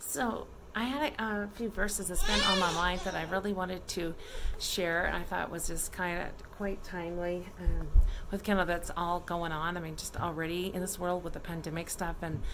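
A woman at a fairly low pitch, moderate pace and fairly even intonation, with noticeable background noise. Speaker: family vlogger. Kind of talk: casual vlog chat. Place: home room. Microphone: phone near.

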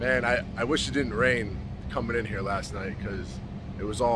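Over noticeable background noise, a man speaks fairly slowly at a fairly low pitch, with a dry sound and no echo. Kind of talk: casual vlog chat. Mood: awed, excited. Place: boat. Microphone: phone near.

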